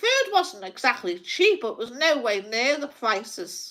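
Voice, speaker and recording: A woman's bright, sharp voice in a Liverpool accent, with very wide pitch swings. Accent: Scouse (Liverpool). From Liverpool, England. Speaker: psychic livestreamer. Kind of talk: casual livestream rant. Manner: animated.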